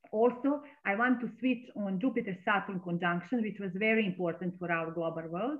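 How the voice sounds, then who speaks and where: A woman in a Serbian accent speaks fairly quickly at a medium pitch, with ordinary pitch variation. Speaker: astrologer. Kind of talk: interview.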